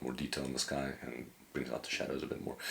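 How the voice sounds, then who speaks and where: With vocal fry and a monotone, flat intonation, a man speaks at a very deep, low pitch. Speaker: photographer and editing educator. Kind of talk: software tutorial. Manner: fast; casual, hesitant with fillers.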